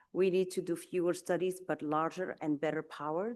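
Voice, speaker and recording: The speaker is a woman with a non-native accent. She talks at a moderate speed. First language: not English. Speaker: nutrition scientist. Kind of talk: conference talk. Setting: conference session. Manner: halting, many fillers.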